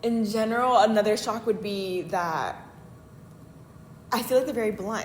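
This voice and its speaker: A woman with fairly high pitch and ordinary pitch variation, audible room echo and noticeable background noise. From Los Angeles, US. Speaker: exchange student. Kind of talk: casual interview. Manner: casual, hesitant with fillers.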